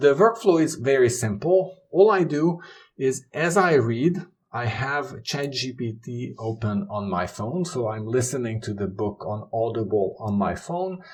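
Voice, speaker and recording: A man with a non-native accent talks at a fairly slow pace in a medium pitch, his voice somewhat breathy. His pitch swings very widely. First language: not English. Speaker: YouTuber on knowledge management. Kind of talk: tutorial.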